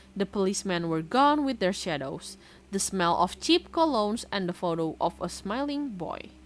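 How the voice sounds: In a natural reading voice, the speaker reads with lively intonation.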